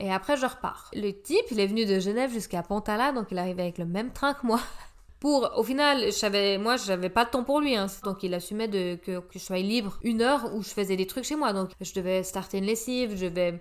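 A woman with an unremarkable speaking voice talks at a fairly quick pace, her medium pitch showing ordinary variation. The recording is very clean and the background silent. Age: 30s. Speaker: health professional. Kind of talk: casual chat.

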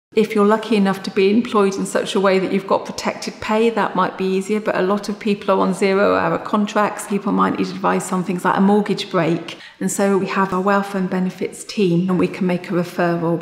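Fairly quick, monotone, flat delivery from a woman, with audible room echo. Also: hardly any pauses. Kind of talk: interview answer. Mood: warm, caring, steady. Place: office. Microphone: lapel.

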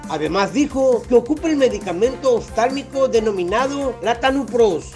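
Over music in the background, a man speaks at an extremely high pitch. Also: ordinary pitch variation, moderate pace. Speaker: news reporter. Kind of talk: news report narration.

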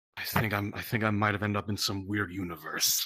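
Putting on a character voice, a man speaks at a fairly low pitch in a weary tone. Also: moderate pace. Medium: game stream. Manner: dry, sarcastic, dismissive; weary and resentful.

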